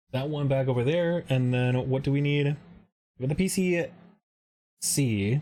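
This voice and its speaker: With a Michigan accent and a dark, mellow tone, a man with a fairly high pitch and ordinary pitch variation speaks at a moderate pace with very even loudness and long, frequent pauses. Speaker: streamer building model kits. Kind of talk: casual live stream chat while building. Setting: live stream.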